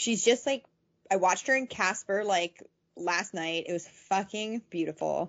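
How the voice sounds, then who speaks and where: A woman's normal speaking voice, medium in pitch, with ordinary pitch variation at a moderate pace. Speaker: podcast co-host. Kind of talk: casual chat, storytelling. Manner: casual, laughs a lot.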